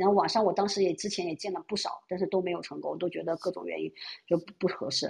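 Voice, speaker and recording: A woman speaks here. Her voice is somewhat breathy. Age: 30s. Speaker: caller. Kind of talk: casual chat.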